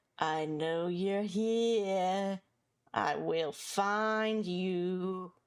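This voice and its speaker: A gruff, put-on character voice moves at a very slow pace with fairly even intonation. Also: woman, medium pitch for a woman. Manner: taunting.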